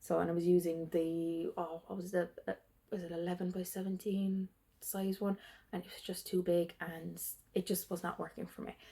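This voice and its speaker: This woman has a fairly low, somewhat breathy voice with a dark, mellow tone, speaking at a moderate pace in a monotone, flat intonation while her loudness swings widely. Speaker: cross-stitch video creator. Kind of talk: casual show-and-tell vlog. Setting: at home. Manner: hesitant, many fillers.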